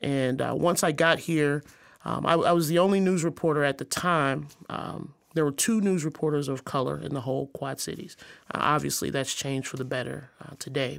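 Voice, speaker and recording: A woman with an American accent and a very deep, low pitch, with vocal fry, fairly even intonation and a fairly quick pace, on a very clean recording with a silent background. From Arkansas, US South. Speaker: author, speaker and activist, former journalist. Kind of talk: interview conversation.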